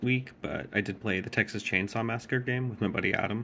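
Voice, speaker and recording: This man talks quietly at a moderate pace. His voice has vocal fry. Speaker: gaming vlogger. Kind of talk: casual vlog update. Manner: hesitant, many fillers.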